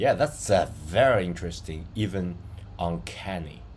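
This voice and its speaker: A somewhat breathy man with a non-native accent talks in a very deep, low pitch, with audible room echo. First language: not English. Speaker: digital art and AI tutorial creator. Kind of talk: tutorial. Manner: slow, deliberate; hesitant, many fillers.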